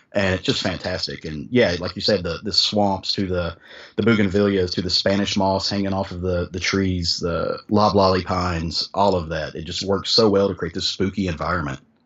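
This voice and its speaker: A man with a strong Southern US accent speaks in a very deep, low pitch. His pace is moderate, with hardly any pauses and fairly even intonation. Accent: thick Southern US. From US South. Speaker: podcast host, guest on comics podcast. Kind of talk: casual chat.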